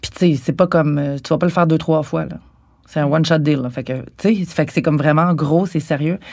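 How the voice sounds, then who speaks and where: A woman with a very deep, low pitch talks at a moderate pace with fairly even intonation. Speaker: interviewee with cancer. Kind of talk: intimate interview. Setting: at home in apartment.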